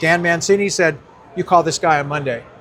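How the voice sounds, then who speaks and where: Noticeable background noise sits behind a man speaking at a fairly quick pace with ordinary pitch variation. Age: 80s+. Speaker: retired drag racing driver. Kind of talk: casual interview, storytelling. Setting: car show.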